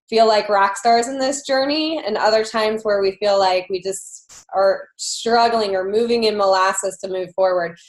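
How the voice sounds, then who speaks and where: At a moderate pace and with hardly any pauses, a woman talks in a fairly high voice with ordinary pitch variation. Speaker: online fitness challenge group coach. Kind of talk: motivational group call talk. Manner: loud; many filler words, casual.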